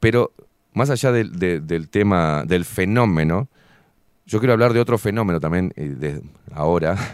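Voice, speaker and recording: In a plain, everyday voice, a man talks at a moderate pace with lively intonation, the sound dry and close with no echo. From Uruguay and Buenos Aires. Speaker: show host. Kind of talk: casual interview. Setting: studio.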